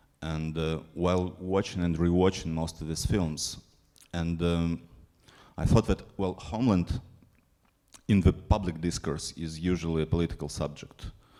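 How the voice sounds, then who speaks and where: A man with a non-native accent talks in a very deep, low voice with a dark, mellow tone and fairly even intonation. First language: not English. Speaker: film programmer. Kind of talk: panel discussion. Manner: halting.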